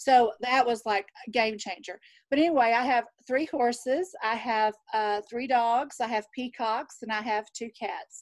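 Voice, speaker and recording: In a Southern US accent, a woman speaks fairly slowly at a high pitch with ordinary variation. The sound is dry and close, with no echo. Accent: Southern drawl. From Texas. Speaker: nurse. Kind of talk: casual chat.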